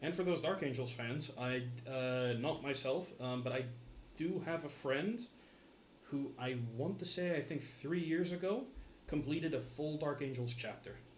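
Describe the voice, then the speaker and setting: Audible room echo around a man at a fairly high pitch, moderate pace and ordinary pitch variation. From Scotland. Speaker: tabletop wargamer. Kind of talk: casual chat. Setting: livestream. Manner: halting.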